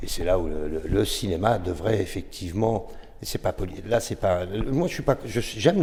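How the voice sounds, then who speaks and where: A man's normal speaking voice, fairly low in pitch, with ordinary pitch variation. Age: 60s. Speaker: former sound engineer. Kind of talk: podcast discussion.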